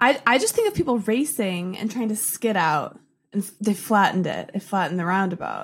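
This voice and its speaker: With an American accent, a woman of medium pitch speaks at a fairly quick pace, somewhat breathy. Her intonation is lively, and her loudness swings widely. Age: 20s. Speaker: social media creator. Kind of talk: casual chat.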